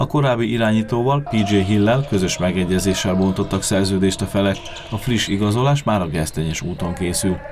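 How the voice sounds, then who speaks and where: Music plays in the background as a man talks at a fairly quick pace, fairly low in pitch, with very even loudness. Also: ordinary pitch variation. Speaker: local TV sports reporter. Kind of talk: news reading.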